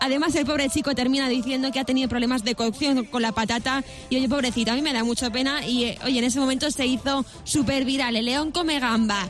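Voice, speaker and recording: A woman talks at a very fast pace in a high pitch. Her loudness stays very even, and background noise is noticeable. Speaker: radio host. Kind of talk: casual chat. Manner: animated.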